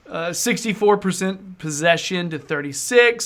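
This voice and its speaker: A man with an American accent speaks at a high pitch in a bright, sharp tone. He goes at a fairly slow pace on a very clean recording with a silent background. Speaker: football podcast host. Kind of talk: casual chat.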